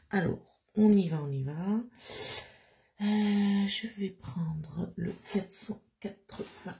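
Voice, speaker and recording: Somewhat breathy and dark, mellow in tone, a woman's voice sits at medium pitch with ordinary pitch variation. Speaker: crafting YouTuber. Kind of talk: casual craft tutorial vlog. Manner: hesitant, many fillers.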